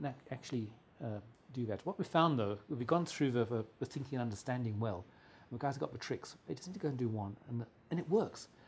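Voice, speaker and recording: Speaking very fast with an English accent, a man uses lively intonation at medium pitch, sounding somewhat breathy. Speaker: mechanical engineer and consultant. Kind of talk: interview. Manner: halting, many repetitions.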